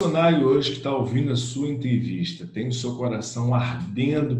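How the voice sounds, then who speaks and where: A man speaks with music in the background. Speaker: journalist and missionary interviewer. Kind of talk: interview.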